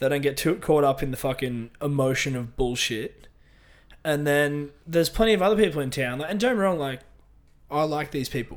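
A man speaks with an Australian accent. His pitch is fairly high. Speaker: podcast co-host, bodybuilder. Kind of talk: casual chat.

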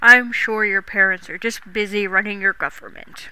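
Soft-spoken in a put-on character voice, a woman speaks at medium pitch and a moderate pace with a monotone, flat intonation. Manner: soft, questioning.

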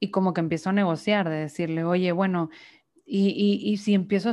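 A woman's plain, everyday voice at a medium pitch, moderate pace and fairly even intonation, over a quiet background. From Mexico, Monterrey, Nuevo León. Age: 20s. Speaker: psychologist. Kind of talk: casual interview conversation.

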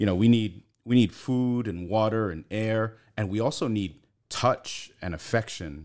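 A man with an American accent and an unremarkable speaking voice talks at a fairly slow pace and a fairly low pitch, with ordinary pitch variation. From Brooklyn, New York, US. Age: 40s. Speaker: psychology professor and therapist. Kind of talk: casual interview chat.

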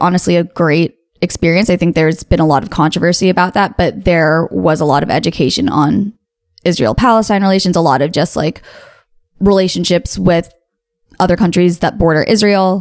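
In an American accent, a woman talks at a moderate pace with a fairly low pitch and ordinary pitch variation. She has an ordinary speaking voice. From US. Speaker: podcast co-host. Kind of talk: casual chat.

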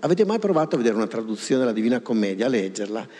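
The man speaks at medium pitch with a dark, mellow tone. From Pavia, northern Italy. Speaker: linguist and author. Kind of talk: lecture. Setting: stage with audience.

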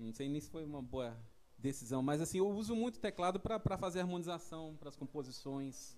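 A man with a normal speaking voice and fairly high pitch talks at a fairly quick pace. His intonation is lively. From São Paulo, Brazil. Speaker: saxophonist. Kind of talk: casual chat.

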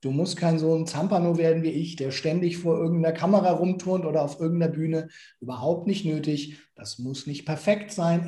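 A high-pitched man's voice with fairly even intonation, a moderate pace and hardly any pauses. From Nuremberg, Franconia. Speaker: motivational speaker. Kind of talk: interview.

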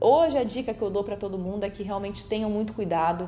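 Audible room echo surrounds a woman of medium pitch whose intonation is lively. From São Paulo state, Brazil (Bauru). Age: 30s. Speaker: TV reporter and presenter. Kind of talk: recorded testimony.

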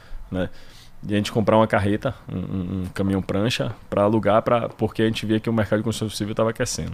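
A man's unremarkable speaking voice, fairly low in pitch, at a fairly quick pace. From Brazil, Salvador, Bahia. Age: 30s. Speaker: gym owner. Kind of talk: interview.

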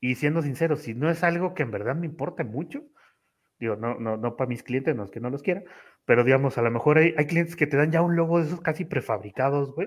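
A man speaks at a very fast pace in a fairly high pitch, with ordinary pitch variation. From Tamaulipas, Mexico. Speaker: office worker and content creator. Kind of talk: casual chat. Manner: casual, slangy, frequent fillers.

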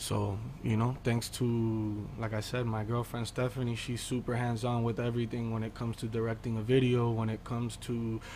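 A medium-pitched man with an American accent speaks at a moderate pace, somewhat breathy and with a monotone, flat intonation. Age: 20s. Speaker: music artist. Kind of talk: interview.

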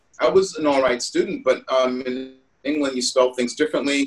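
A man is speaking. Music plays in the background. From UK. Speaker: dancer, singer and actor. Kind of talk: casual interview.

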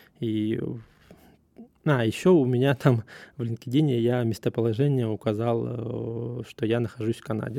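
A man at a medium pitch speaks at a fairly slow pace, keeping his intonation fairly even. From Russia. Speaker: podcast host, surveyor. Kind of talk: casual monologue. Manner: halting, many fillers.

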